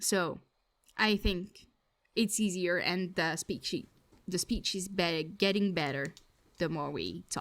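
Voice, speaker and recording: Speaking with a French accent, a woman talks at a medium pitch and a very slow pace, her intonation fairly even and her speech broken by long, frequent pauses. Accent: French accent, self-described as bad. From France. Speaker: podcast co-host. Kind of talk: casual chat.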